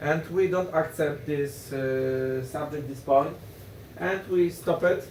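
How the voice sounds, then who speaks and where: In a Polish accent, the speech comes at a very slow pace with audible room echo. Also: man. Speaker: politician. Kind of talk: panel discussion. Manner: halting.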